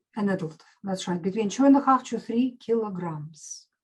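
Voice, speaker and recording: The speaker uses a Russian accent, a moderate pace, ordinary pitch variation and a somewhat breathy quality. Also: woman. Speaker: medical doctor and nutritionist. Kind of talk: interview.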